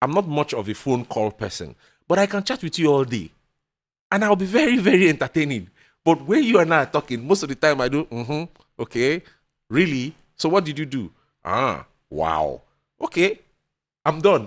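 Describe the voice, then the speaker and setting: A man with a fairly high voice, creaky with vocal fry and swinging very widely in pitch. He pauses long and often, on a very clean recording with a silent background. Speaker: podcast guest. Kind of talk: casual chat. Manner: fast.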